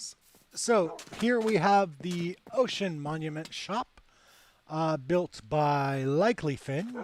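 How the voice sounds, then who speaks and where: This man talks at a very slow pace with an American accent. His pitch is high and his intonation lively. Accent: American accent, milder than stereotypical. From United States. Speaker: game server admin. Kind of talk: casual chat. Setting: livestream.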